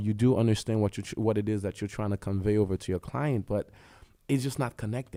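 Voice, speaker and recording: A man with a non-native accent talks at a very fast pace, his tone dark and mellow, with ordinary pitch variation. The recording is very clean, with a silent background. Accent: foreign accent, lasting. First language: not English; French was a second language. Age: 30s. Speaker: podcast agency executive. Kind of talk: casual interview chat.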